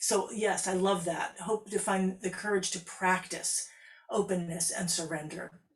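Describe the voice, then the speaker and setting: A woman talks at a medium pitch. Noticeable background noise is present. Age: 60s. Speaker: composer and harpist hosting a live stream. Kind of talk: live interactive stream talk, reading viewer comments. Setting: composing studio, live stream. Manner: conversational, with frequent restarts and fillers.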